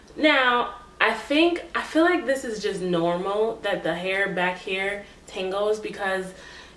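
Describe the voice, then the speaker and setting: Noticeable background noise mixed with audible echo from the room. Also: woman. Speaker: beauty vlogger. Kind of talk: hair review tutorial. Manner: animated.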